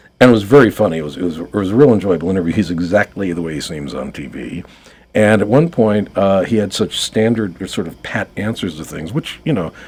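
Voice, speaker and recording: A man with an American accent talks at a very fast pace. His pitch is fairly low and his intonation lively. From New York. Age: 60s. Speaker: writer and marketing consultant. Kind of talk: radio interview. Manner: hesitant, many fillers.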